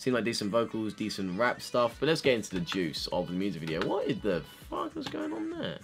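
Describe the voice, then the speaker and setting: A man talks at a fairly quick pace while faint music plays in the background. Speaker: YouTuber, K-pop reactor. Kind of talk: casual reaction commentary. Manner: fast-talking. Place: home room. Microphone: webcam.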